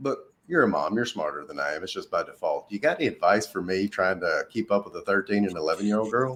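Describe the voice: A man at a low pitch and fast pace, with lively intonation and a fairly bright tone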